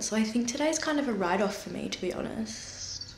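Speaking at a moderate pace with an Australian accent, a woman with a fairly high pitch is heard over light background noise and audible room echo. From Australia, Dandenong Ranges, Victoria; Victoria, Australia. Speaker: artist and vlogger; vlogger. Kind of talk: casual vlog narration. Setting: studio. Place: workshop. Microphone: phone near.

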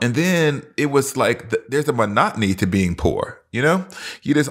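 Here a man speaks in an American accent at a moderate pace. His pitch swings very widely. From US South. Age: 40s. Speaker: professor and pastor. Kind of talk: casual chat.

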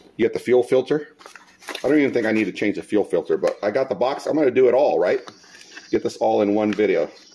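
Very fast male speech at a very even loudness, with noticeable background noise. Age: 40s. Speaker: YouTuber doing DIY mower maintenance. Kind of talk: casual how-to video narration. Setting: outdoors at home.

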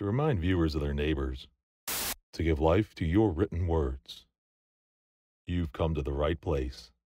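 In an American accent, a man with a very deep, low pitch and dark, mellow tone speaks with vocal fry and ordinary pitch variation at a fairly slow pace, with long, frequent pauses and a dry sound with no echo. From United States. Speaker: voice actor. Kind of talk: voice-over demo / promotional read. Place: booth. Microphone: studio mic.

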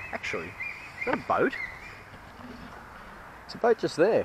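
The man speaks at a moderate pace. Noticeable background noise sits under a dry sound with no echo. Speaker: vlogger geocaching. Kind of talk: casual vlog chat. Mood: jokey, upbeat. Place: forest. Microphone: lapel.

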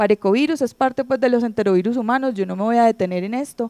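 Over a quiet background, a woman's fairly high voice has a dark, mellow tone. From Colombia. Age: 30s. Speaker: pediatric infectious disease doctor; presenter. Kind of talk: conference lecture. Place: hall. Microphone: handheld.

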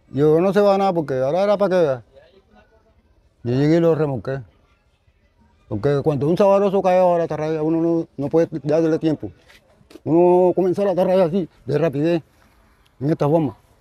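A man with a fairly high pitch and a dark, mellow tone talks at a fairly quick pace with ordinary pitch variation and long, frequent pauses, in a dry sound with no echo. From Colombian Caribbean coast, Atlántico. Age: 70s. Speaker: artisanal fisherman. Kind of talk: storytelling interview. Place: street. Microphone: lapel.

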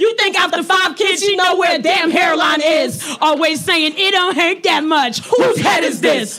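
Shouting at a fairly slow pace with hardly any pauses, over crowd noise in the background. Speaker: slam poet. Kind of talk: spoken word poetry performance. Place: stage. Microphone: handheld.

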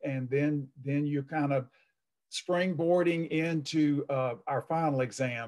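A man speaks at a moderate pace with fairly even intonation over a quiet background. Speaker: college math instructor. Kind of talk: lecture. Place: home room. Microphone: webcam.

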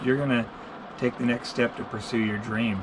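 Music plays in the background. Over it a man talks with ordinary pitch variation. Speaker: channel host. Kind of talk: casual vlog chat. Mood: encouraging, earnest. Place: home room. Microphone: camera far.

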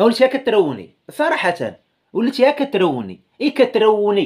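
The speaker has a Moroccan accent and lively intonation. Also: man. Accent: Moroccan Darija. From Morocco. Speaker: YouTuber commentator. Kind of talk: casual video commentary. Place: home room. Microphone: phone near.

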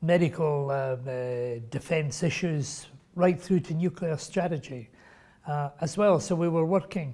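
At a moderate pace, a man speaks in a dark, mellow tone with ordinary pitch variation. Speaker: interview guest. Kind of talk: interview answer. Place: meeting room. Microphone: lapel.

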